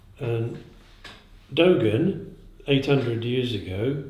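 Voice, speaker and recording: Man's medium-pitched voice, dark and mellow, somewhat breathy, with audible room echo. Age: 70s. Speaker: zen teacher. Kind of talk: dharma talk. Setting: meditation day talk in Prague. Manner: halting.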